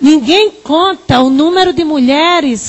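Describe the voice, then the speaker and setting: A woman speaks in a Paraíba accent at a fairly slow pace. Her pitch variation is ordinary. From Northeast Brazil, Paraíba. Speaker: psychologist and researcher. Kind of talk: lecture.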